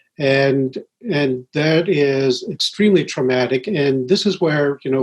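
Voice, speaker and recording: A man with a New Brunswick accent speaks at a fairly slow pace. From Wolastoqey reserve, New Brunswick, Canada, schooled in US. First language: Wolastoqey. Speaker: professor. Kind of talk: panel conversation. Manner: measured with frequent uh.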